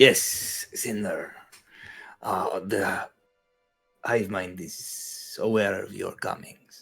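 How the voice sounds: A man uses a raspy, put-on character voice at a very slow pace, with long, frequent pauses. Music plays in the background. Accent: Russian.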